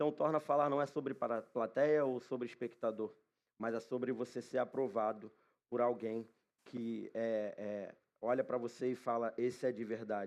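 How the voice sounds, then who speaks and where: A man talks at a medium pitch with fairly even intonation in an unremarkable speaking voice. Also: moderate pace. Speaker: preacher. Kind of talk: sermon. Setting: church.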